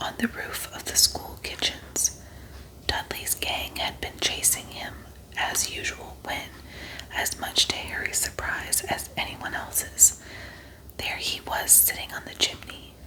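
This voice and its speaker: Someone whispers in a calm tone at a fairly slow pace over noticeable background noise. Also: woman. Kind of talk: ASMR audiobook reading for sleep. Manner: soft, calm.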